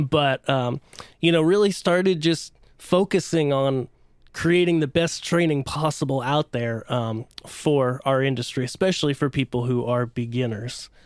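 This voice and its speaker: On a very clean recording with a silent background, a man with a fairly high pitch uses an ordinary speaking voice at a moderate pace with ordinary pitch variation. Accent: American. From central Pennsylvania. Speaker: lighting designer and trainer. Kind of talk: casual interview.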